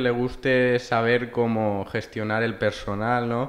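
At a fairly slow pace, a man speaks at a medium pitch. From Valencia region, Spain. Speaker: human resources graduate; podcast guest. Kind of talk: casual interview. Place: meeting room. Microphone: studio mic.

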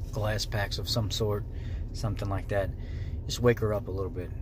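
A man talks at a fairly quick pace over noticeable background noise. The sound is dry, with no echo. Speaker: car hobbyist vlogger. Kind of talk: casual vlog chat. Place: car. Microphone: phone near.

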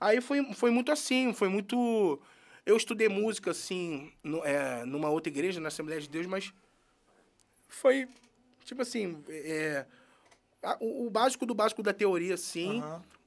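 With long, frequent pauses, a man speaks at a fairly slow pace in a high-pitched voice. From Rio de Janeiro, Jacarezinho; Rio de Janeiro. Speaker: musician and singer; guest. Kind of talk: interview; interview answer. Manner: halting. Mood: relaxed, friendly. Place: studio. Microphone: studio mic.

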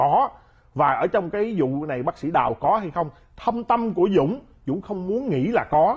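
Against a quiet background, a man with a high pitch speaks at a moderate pace, his voice making very wide pitch swings. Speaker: commentator. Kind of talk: interview. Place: studio. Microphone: lapel.

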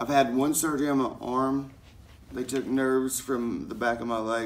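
Speaking with a Southern US accent, a man keeps a fairly slow pace and fairly even intonation. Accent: US South. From Knoxville, Tennessee; Tennessee. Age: 30s. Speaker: vlogger. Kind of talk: personal vlog testimony. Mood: earnest, serious personal story. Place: home room. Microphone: phone near.

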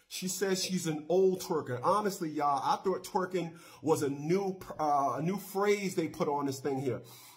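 A man talks at a moderate pace with hardly any pauses and a high pitch. His pitch variation is ordinary, and the background is quiet. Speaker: talk show host. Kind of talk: call-in radio show hosting. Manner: casual. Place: studio. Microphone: studio mic.

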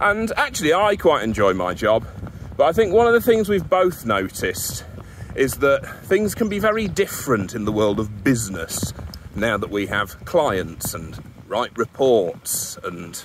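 Against noticeable background noise, a man talks at a fairly slow pace in a dry sound with no echo. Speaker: vlogger presenter. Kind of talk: casual vlog chat. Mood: wry, humorous. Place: street. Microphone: phone near.

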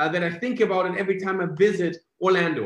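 A man with a high voice talks at a moderate pace against a quiet background, with audible echo from the room. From Germany. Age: 30s. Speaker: network marketing presenter. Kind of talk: sales pitch. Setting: video call. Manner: animated. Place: home room.

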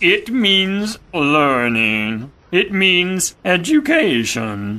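Someone in a put-on character voice talks very slowly with big pitch swings and a bright, sharp tone.

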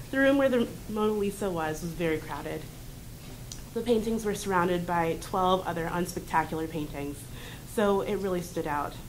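In an ordinary speaking voice, a woman talks at a moderate pace with fairly low pitch and ordinary pitch variation. Light background noise can be heard. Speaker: college student. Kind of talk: reading aloud. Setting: stage with audience. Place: classroom. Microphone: camera far.

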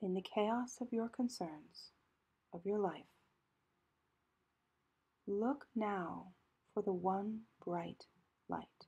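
A woman speaks at a very slow pace and a medium pitch, with long, frequent pauses and ordinary pitch variation. Her voice is somewhat breathy, with a calm tone and a dark, mellow tone. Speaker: priest and spiritual director, guided meditation leader. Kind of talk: guided meditation. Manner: calm, slow, with long pauses.

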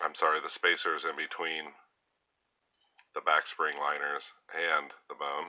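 The speech is fairly slow, with long, frequent pauses, over a quiet background. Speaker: knife collector YouTuber. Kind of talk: casual show-and-tell review. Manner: hesitant, many fillers. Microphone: phone near.

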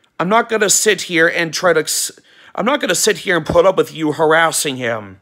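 A man shouting in an angry tone, high-pitched with a bright, sharp edge, lively intonation, a fairly quick pace and a quiet background. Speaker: YouTube vlogger. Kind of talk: angry rant aimed at a banned user, mixed with a casual channel announcement. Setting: home video recording, weather radio on wall. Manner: angry, emphatic, sarcastic, scolding with stressed words and shouted lines; rambling, repeats words and restarts sentences. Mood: annoyed, ranting. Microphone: phone near.

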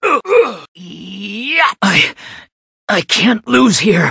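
In a put-on character voice, a man delivers his lines with an intense tone at a fairly slow pace. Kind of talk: video game character voice lines. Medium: dub. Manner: intense, shouted battle cries.

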